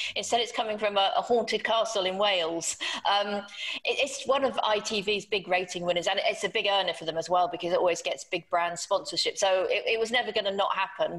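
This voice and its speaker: A woman with an unremarkable speaking voice talks at a fairly quick pace and a medium pitch. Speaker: television writer. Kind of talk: panel discussion.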